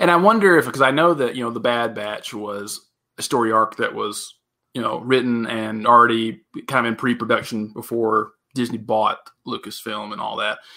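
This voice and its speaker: With a bright, sharp tone, a man speaks at medium pitch and a moderate pace, using ordinary pitch variation. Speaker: podcast co-host. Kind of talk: casual chat.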